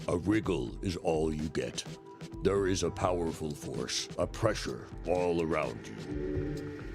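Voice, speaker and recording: A put-on character voice from a man, very deep and low, delivered fairly slowly over clear background music. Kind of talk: second-person game narration. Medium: game stream.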